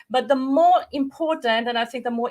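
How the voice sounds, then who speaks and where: In an Austrian accent, a woman speaks with a high voice. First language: German. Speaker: visual coach. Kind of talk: webinar presentation. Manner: halting.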